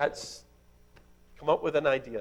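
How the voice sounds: This is a man's voice. He talks fairly slowly.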